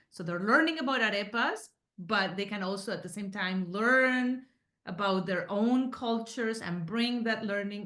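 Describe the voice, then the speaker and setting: A woman's medium-pitched voice with a Spanish accent, at a moderate pace, with ordinary pitch variation and a quiet background. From Colombia, Medellín (Paisa). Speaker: book author and Spanish teacher. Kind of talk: casual interview chat.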